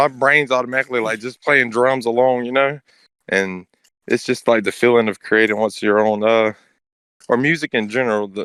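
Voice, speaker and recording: With an excited tone, a man of medium pitch talks at a fairly quick pace in a dry, close sound with no echo. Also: very clean recording, silent background. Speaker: podcast co-host. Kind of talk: casual chat. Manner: fast, excited-sounding; skips words, halting.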